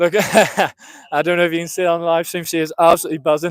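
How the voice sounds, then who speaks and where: At a very fast pace, a man talks with a high pitch. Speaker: race commentator. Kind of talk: live commentary and trackside interview. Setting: outdoors at athletics track, live stream.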